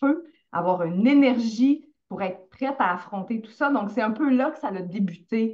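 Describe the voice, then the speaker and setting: In a Quebec accent, a somewhat breathy woman speaks fairly slowly with ordinary pitch variation. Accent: Québécois French. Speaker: essential oils coach. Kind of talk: interview.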